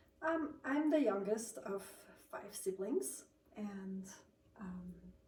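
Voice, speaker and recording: Very wide pitch swings mark this very slow delivery in a slight Swiss accent, with audible room echo. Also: woman, medium pitch for a woman. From Switzerland. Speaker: sleep technician and cookie baker. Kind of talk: casual interview. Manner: hesitant, many ums.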